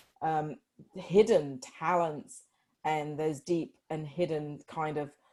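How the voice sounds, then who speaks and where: The voice has a dark, mellow tone and a Yorkshire accent. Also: woman. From northern England, Yorkshire. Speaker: life coach. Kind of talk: interview.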